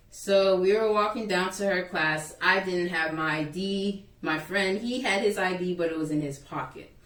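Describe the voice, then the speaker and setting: At a moderate pace, a woman speaks with a medium pitch and ordinary pitch variation over noticeable background noise. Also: hardly any pauses. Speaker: YouTuber. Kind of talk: storytime vlog. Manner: loud; animated.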